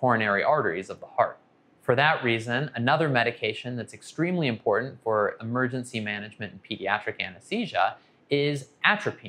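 A man's bright, sharp tone with lively intonation at a moderate pace. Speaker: anesthesia physician educator. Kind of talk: educational explainer. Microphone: lapel.

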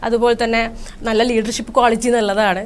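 This woman's voice sits high in pitch. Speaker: corporate trainer and marketing manager. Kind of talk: interview. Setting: studio.

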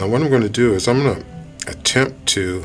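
Faint music plays in the background while a man speaks with ordinary pitch variation. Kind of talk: tutorial. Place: workshop. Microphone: camera far.

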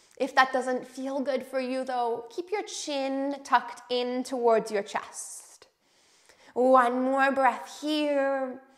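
A woman's high-pitched voice, calm and soothing in tone, at a very slow pace with fairly even intonation against a quiet background. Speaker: yoga instructor. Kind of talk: guided chair yoga class with breathing and meditation cues. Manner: calm, slow, soothing and gentle; encouraging, welcoming and inclusive. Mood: calm, encouraging. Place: home room. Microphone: lapel.

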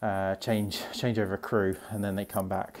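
A man talks at a moderate pace. His pitch sits fairly low. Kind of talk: casual vlog chat. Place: hall. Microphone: earbuds.

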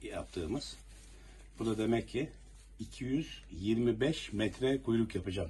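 A man speaks at a very slow pace. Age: 60s. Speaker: retired police officer. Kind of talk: news interview.

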